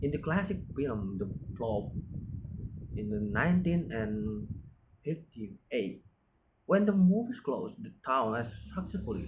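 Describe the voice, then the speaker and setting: A man speaks at medium pitch with a non-native accent and some vocal fry. His pace is fairly slow, and his pitch swings very widely. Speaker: university student. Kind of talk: class presentation. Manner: halting, with self-corrections.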